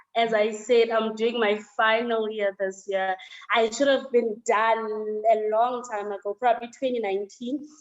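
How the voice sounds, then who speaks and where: Her delivery is monotone and flat, at a fairly slow pace. The woman's pitch is fairly high. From South Africa, Johannesburg. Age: 20s. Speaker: university student. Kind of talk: interview testimony.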